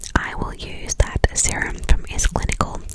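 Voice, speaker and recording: Whispering at a fairly slow pace, a woman speaks over noticeable background noise. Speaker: ASMR creator. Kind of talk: ASMR skincare and hair tutorial voice over. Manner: soft whisper, clicky.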